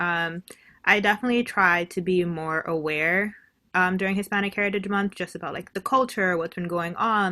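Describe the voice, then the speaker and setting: A woman with an American accent talks at a fairly quick pace, her medium pitch showing ordinary variation and a bright, sharp tone. The recording is very clean, with a silent background. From New York City. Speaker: advertising professional. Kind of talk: casual interview chat.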